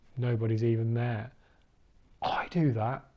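A man with a dark, mellow tone keeps a moderate pace, and the background is quiet. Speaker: person who stammers, recovering stammerer. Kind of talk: documentary interview answer. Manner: hesitant, with repeated syllables and blocks. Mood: reflective, animated storytelling. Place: home room. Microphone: lapel.

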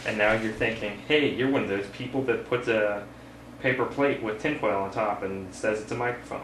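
Over noticeable background noise, the talking proceeds at a moderate pace, its intonation fairly even. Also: man. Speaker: video maker demonstrating a DIY microphone. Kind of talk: casual tutorial demonstration. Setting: home recording with webcam, dim room. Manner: casual, hesitant with fillers.

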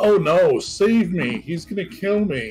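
A man does a put-on character voice, pitched high and spoken at a fairly slow pace over faint background music. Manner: mocking.

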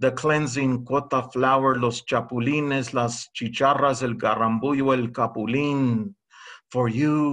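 An unforced reading voice is heard over a quiet background.

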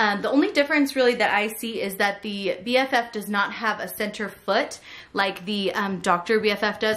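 Her intonation stays fairly even while the woman keeps a moderate pace. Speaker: product reviewer. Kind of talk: product comparison tutorial. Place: home room.

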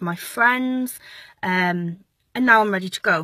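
A woman speaks in a bright, sharp tone, the sound dry with no echo against a quiet background. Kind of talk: casual vlog chat. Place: car. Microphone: phone near.

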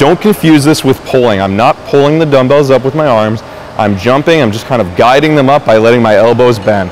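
Over light background noise, a man speaks at a fairly quick pace with ordinary pitch variation. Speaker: fitness instructor. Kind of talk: tutorial; coaching cues. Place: gym.

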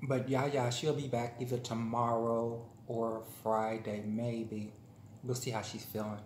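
In a room with audible echo and light background noise, a man speaks at a fairly slow pace with monotone, flat intonation. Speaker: vlogger. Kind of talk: casual vlog chat while eating. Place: home room. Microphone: phone near.

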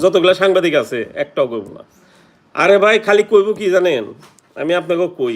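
A man's high-pitched voice with lively intonation. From Bangladesh. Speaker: YouTuber. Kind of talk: livestream chat.

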